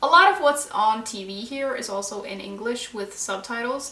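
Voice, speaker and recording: With a Norwegian accent, a woman speaks with ordinary pitch variation amid noticeable background noise and audible room echo. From Norway. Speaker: book vlogger. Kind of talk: casual vlog monologue.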